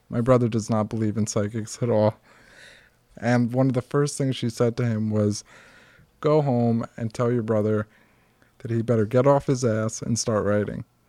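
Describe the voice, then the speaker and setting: A man with an American accent and a dark, mellow tone speaks at a medium pitch and a moderate pace, his intonation monotone and flat, with long, frequent pauses and a dry, close sound with no echo. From US Northeast (Norwood area). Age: 30s. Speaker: heart transplant survivor and author. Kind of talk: casual chat. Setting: at home.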